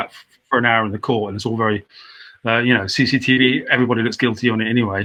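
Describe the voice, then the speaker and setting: A man speaks very fast in a bright, sharp tone with monotone, flat intonation. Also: medium pitch for a man. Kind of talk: interview answer. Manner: halting, with stammer.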